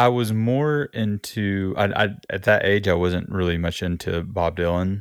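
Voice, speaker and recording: A man with a Southern US accent speaks at a fairly slow pace. His fairly low pitch shows ordinary variation. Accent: American Southern, noticeable. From US South, Gulf Coast Alabama. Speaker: musician and music teacher. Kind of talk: casual interview. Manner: halting, many repetitions.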